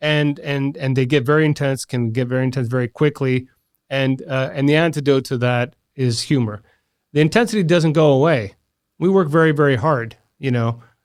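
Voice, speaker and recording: In a normal speaking voice, a man with an American accent talks at a fairly quick pace, his pitch fairly high and its variation ordinary. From Washington DC, US. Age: 40s. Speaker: engineering innovation lead. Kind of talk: podcast interview.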